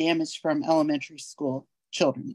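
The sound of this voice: A woman speaks at a moderate pace in a slightly mellow tone. The sound is dry and close, with no echo.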